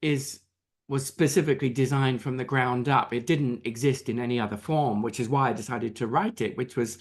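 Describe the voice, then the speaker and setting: Against a quiet background, a man with an English accent talks at a moderate pace, his medium pitch showing ordinary variation. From England. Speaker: author and Disney business expert. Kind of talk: interview. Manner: hesitant with many fillers.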